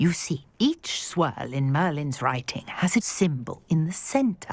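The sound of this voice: A woman's put-on character voice, low in pitch with big swings, at a fairly slow pace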